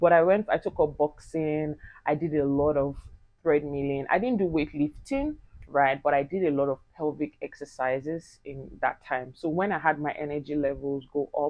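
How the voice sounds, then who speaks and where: Her voice very deep and low, a woman speaks at a moderate pace in an animated tone. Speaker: mom vlogger. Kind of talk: vlog monologue.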